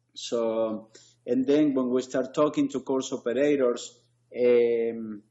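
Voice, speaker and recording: The speaker talks with an Argentinian accent. The intonation stays fairly even. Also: man. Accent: noticeable foreign accent, Argentinian. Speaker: sports league founder. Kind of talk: interview conversation. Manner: hesitant, many fillers.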